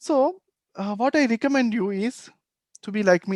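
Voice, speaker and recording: With a Telugu accent, a high-pitched man speaks in lively intonation, the sound dry and close with no echo. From India, Telugu-speaking region. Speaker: meditation teacher. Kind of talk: workshop talk. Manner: halting.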